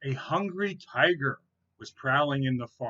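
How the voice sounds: A natural reading voice is heard, and the background is quiet.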